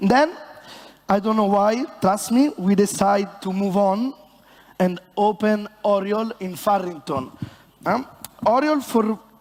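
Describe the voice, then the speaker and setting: Speaking at a very slow pace, a man with an Italian accent has a high pitch and ordinary pitch variation, with noticeable background noise behind him. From Italy. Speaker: bartender. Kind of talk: stage presentation. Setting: stage with audience. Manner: animated.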